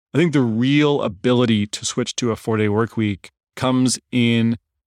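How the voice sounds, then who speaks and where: A man with a plain, everyday voice talks at a medium pitch and moderate pace with fairly even intonation, in a very clean recording with a silent background and a dry, close sound with no echo. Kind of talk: interview clip.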